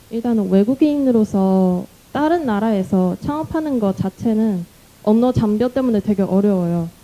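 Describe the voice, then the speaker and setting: Using a non-native accent, a woman speaks at a moderate pace with lively intonation and a fairly high pitch. Her tone is dark and mellow, and her loudness stays very even. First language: not Korean (speaking Korean). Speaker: startup founder. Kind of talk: panel discussion. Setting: stage with audience.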